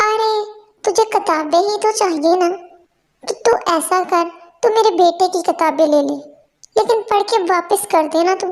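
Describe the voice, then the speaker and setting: A cartoonish character voice from a woman, extremely high-pitched, with ordinary pitch variation and a moderate pace. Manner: curt, condescending.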